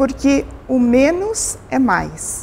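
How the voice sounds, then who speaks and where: A woman's voice moves through very wide pitch swings. Noticeable background noise is present. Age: 60s. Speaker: aesthetic doctor. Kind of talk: interview. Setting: TV program on location.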